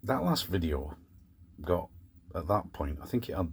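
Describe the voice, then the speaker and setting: A man with a very deep, low pitch sounds somewhat breathy, speaking at a moderate pace with ordinary pitch variation. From Scotland, Glasgow, then England from age four. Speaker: van life vlogger. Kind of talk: casual vlog monologue. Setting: in a van in the evening.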